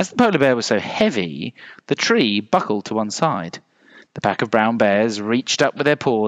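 This is an unforced reading voice. The words are read out.

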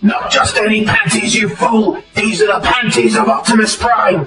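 Putting on a character voice, a woman speaks at a fairly high pitch and a moderate pace. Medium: dub. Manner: shouting, bombastic.

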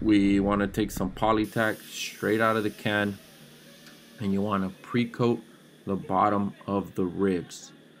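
Over light background noise, a man speaks at a fairly slow pace in a fairly low pitch with monotone, flat intonation. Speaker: fabric covering instructor. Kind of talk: tutorial. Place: workshop. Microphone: phone near.

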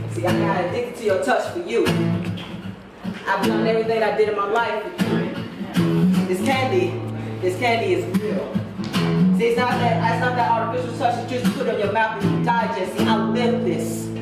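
Loud background noise and audible room echo fill the clip. The speech has long, frequent pauses. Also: moderate pace. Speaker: spoken word poet. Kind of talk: freestyle spoken word poetry at open mic. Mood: romantic, rhythmic, expressive. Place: home room. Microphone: camera far.

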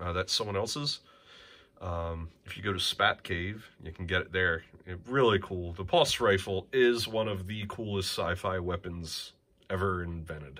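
A man with a bright, sharp tone speaks at a fairly low pitch and a moderate pace, with ordinary pitch variation. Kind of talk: casual tour commentary. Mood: relaxed, enthusiastic, some laughs. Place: home room. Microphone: phone near.

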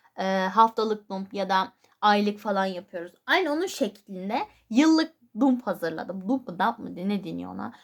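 An unremarkable speaking voice from a woman at medium pitch and moderate pace, with lively intonation and big swings in loudness. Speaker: YouTuber. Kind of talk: casual vlog talk.

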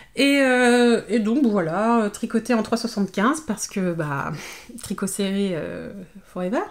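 A woman speaks at a very slow pace, her intonation lively. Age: 30s. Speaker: knitting YouTuber; knitting vlogger. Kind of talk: casual vlog monologue. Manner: hesitant, many fillers and repetitions. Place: home room. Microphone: phone near.

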